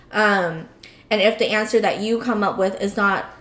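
A woman speaks at medium pitch. Noticeable background noise can be heard. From US, Cambodian-American community. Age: 20s. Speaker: podcast co-host. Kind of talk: casual chat.

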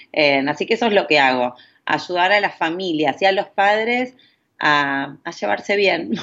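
A woman with an unremarkable speaking voice talks at a fairly slow pace and a fairly low pitch. Her intonation is lively and her loudness very even. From Argentina. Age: 40s. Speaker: parenting coach. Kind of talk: interview conversation.

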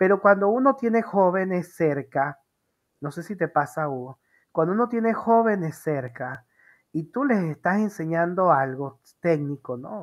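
A woman with a fairly low pitch speaks at a fairly slow pace, with very wide pitch swings and big shifts in loudness. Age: 40s. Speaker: interview show host. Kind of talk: casual interview. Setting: live video stream.

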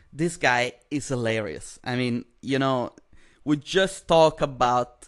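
Speaking at a very slow pace, a man with an Italian accent keeps a medium pitch and ordinary pitch variation. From Italy. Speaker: podcast host and comedian. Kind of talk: casual chat.

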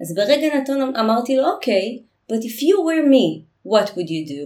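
A woman speaks at a fairly high pitch with vocal fry. Her pitch swings very widely. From Israel. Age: 40s. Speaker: intercultural communication consultant. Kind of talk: interview.

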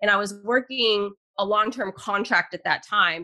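A woman's bright, sharp tone at a moderate pace. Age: 40s. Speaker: investing educator and podcaster. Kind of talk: interview.

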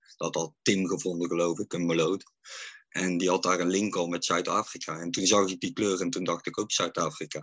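This man's pitch is very deep and low. His intonation stays fairly even. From North Brabant, Netherlands (Oosterhout). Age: 40s. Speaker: fan account runner, care worker. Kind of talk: casual chat. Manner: halting.

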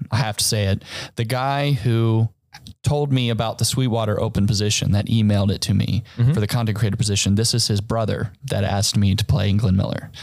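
Speaking at a fairly quick pace, a man uses an ordinary speaking voice with fairly low pitch, fairly even intonation, and very even loudness. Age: 30s. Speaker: musician. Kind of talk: casual chat.

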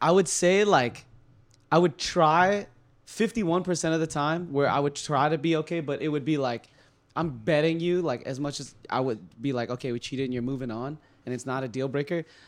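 A man with an American accent uses a normal speaking voice, fairly high in pitch, at a fairly quick pace with ordinary pitch variation. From California. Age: 30s. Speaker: podcast guest. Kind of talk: casual chat.

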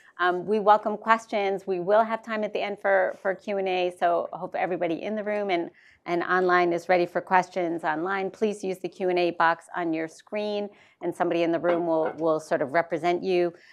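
A plain, everyday voice from a woman of medium pitch, fairly quick in pace with fairly even intonation, over a quiet background. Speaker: moderator at think tank. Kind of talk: moderated book talk. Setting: in-person event with audience.

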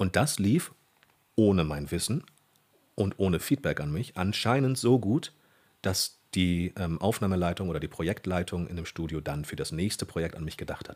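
A man's very deep, low voice with lively intonation at a moderate pace, in a very clean recording with a silent background. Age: 30s. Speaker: voice actor and dubbing director. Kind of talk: casual interview.

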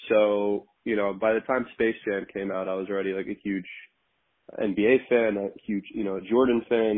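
Intonation here is monotone and flat. The words come at a moderate pace. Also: man, fairly low pitch for a man. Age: 30s. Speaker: podcast co-host. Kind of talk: casual chat.

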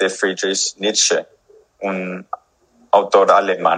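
The pace is very slow. It is a man speaking. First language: English (speaking Spanish). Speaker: musician. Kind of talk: interview. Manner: halting.

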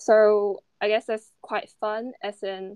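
A woman with monotone, flat intonation. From China. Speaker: investment banking analyst. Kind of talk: casual interview. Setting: hotel room during quarantine.

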